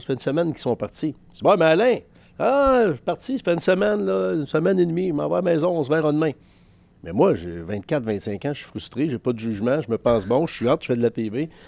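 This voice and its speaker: Very fast, animated delivery with very wide pitch swings on a very clean recording with a silent background. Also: man. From Quebec. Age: 50s. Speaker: sports journalist. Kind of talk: casual chat.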